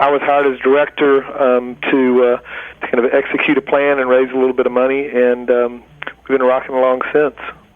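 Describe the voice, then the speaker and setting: Man with an American accent, medium pitch, monotone, flat intonation, fairly quick pace, and very even loudness, over noticeable background noise. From US South, middle Georgia. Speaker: food writer and nonprofit director. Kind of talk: interview.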